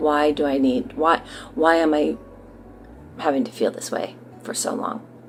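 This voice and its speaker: A woman with a very deep, low pitch speaks at a moderate pace, taking long, frequent pauses. Her pitch swings very widely, and music plays in the background. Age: 60s. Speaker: patient giving a treatment testimonial. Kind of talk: testimony. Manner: halting, many fillers.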